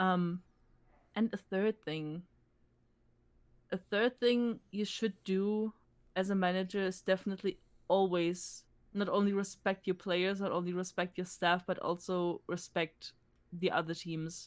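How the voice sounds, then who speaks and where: A woman with a German accent and medium pitch speaks at a fairly slow pace in a monotone, flat intonation, leaving long, frequent pauses. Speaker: esports team manager. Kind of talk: interview. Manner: halting.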